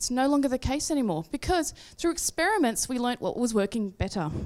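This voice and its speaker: Over a very clean recording with a silent background, a high-pitched woman with an Australian accent talks at a moderate pace using very wide pitch swings. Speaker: agile coach and consultant. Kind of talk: conference talk.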